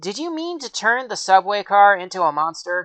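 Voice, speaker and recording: A woman at medium pitch puts on a character voice. Her pitch swings very widely and her loudness swings a lot. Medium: read story.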